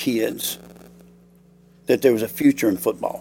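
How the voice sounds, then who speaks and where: Speaking with a Southern US accent, a man shows ordinary pitch variation. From US South, Alabama. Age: 60s. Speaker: high school football coach. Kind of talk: interview.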